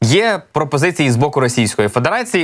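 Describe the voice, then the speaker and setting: His pitch swings very widely. The man moves through his words at a fairly quick pace. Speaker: news presenter. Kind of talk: news commentary. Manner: conversational.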